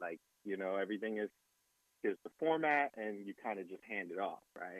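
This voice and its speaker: Speaking with an American accent, a man has an unremarkable speaking voice at a fairly low pitch. He keeps a moderate pace with ordinary pitch variation. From New Jersey, Jersey City. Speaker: DJ and music producer. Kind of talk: interview.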